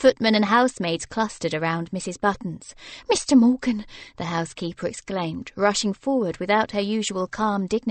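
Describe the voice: The clip is plain reading aloud, with pitch that varies in an ordinary way.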